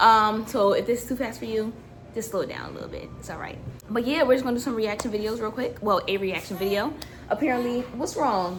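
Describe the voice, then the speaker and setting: Over noticeable background noise and audible room echo, a woman talks at a very fast pace in an animated tone, with big swings in loudness and ordinary pitch variation. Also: fairly high pitch for a woman. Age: 20s. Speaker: lifestyle vlogger. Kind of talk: casual chat.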